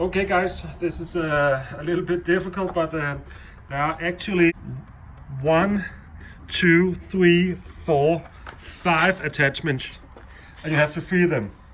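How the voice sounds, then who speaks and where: A man with a non-native accent speaks at a high pitch and a fairly slow pace, with fairly even intonation. Long, frequent pauses break up his speech amid noticeable background noise. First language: not English. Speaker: DIY car repair video maker. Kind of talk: tutorial. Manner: halting, many fillers.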